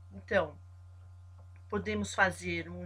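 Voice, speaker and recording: A woman with a very deep, low pitch, fairly even intonation and a fairly slow pace, in audible room echo. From São Paulo, Brazil. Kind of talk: devotional Bible teaching. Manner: halting, stops often.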